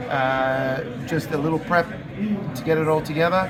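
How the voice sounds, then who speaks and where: A man with an Australian accent speaks at a moderate pace, his pitch fairly high and his intonation fairly even. Noticeable background noise and audible room echo fill the recording. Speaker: bartender. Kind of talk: on-location interview. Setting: stadium club at ballpark.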